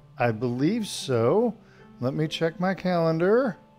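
A man talks at a fairly slow pace, with faint music in the background. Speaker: tai chi instructor. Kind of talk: casual live-class chat. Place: home room.

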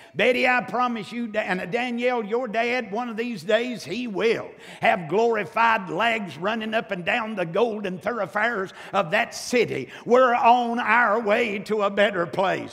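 A man's fairly slow speech, high-pitched for a man, with ordinary pitch variation. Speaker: preacher. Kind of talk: sermon. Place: church. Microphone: lapel.

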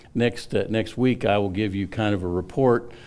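A man's fairly low voice at a moderate pace, with ordinary pitch variation. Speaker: pastor. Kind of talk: sermon. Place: church.

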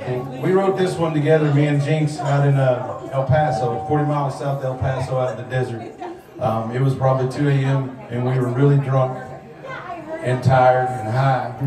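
Over music in the background, a man talks at a moderate pace with audible room echo. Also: fairly even intonation. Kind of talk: stage banter between songs. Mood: joking storyteller. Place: bar. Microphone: camera far.

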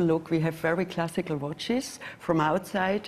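The speaker has a German accent and a moderate pace. The intonation is fairly even. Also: woman. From Germany. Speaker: watch brand executive; panelist. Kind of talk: panel discussion. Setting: stage with audience. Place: hall.

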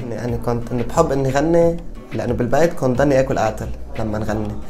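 Faint music plays in the background. A man talks at a moderate pace with ordinary pitch variation. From Baalbek, Lebanon. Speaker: singer. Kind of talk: interview answer. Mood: cheerful, smiling. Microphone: lapel.

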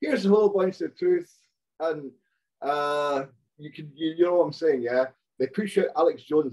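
Over a quiet background, a man with a Hebridean accent speaks in a fairly high voice at a moderate pace. His pitch varies in an ordinary way, and he leaves long, frequent pauses. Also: big swings in loudness. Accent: Hebridean Scottish. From Scotland, Outer Hebrides (Stornoway); Scotland. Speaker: storyteller guest; guest. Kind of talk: casual chat. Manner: animated, profane. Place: home room. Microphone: video call.

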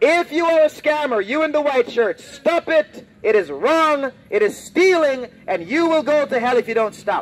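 Loud and at a moderate pace, a man talks in an extremely high pitch with hardly any pauses. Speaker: street preacher. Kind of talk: street sermon, confrontational open-air preaching to passersby; open-air street preaching. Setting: outdoors, street with passersby. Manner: loud, insistent, repeating warnings and commands; bold, defiant, unafraid of hecklers. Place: street.

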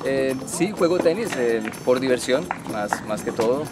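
A man talks at a fairly slow pace. The sound is dry with no echo, and loud music plays behind him. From Colombia. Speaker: tennis parent and recreational player. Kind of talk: interview answer. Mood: friendly, relaxed. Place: stadium.

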